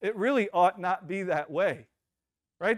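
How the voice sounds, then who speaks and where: A man speaks in an animated, passionate tone. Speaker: pastor. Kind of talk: sermon. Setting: church.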